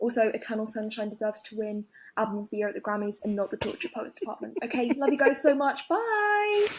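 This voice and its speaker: With a London accent, a woman talks at a very fast pace in a fairly high pitch over noticeable background noise. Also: ordinary pitch variation. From London, England. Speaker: caller. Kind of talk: voicemail opinion message.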